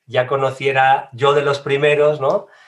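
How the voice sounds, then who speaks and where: A man is talking. There's a somewhat breathy quality to his voice. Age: 40s. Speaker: digital marketing trainer. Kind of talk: casual interview.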